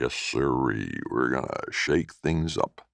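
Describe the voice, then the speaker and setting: Using a put-on character voice, a man rumbles along at a fairly slow pace. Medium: read story.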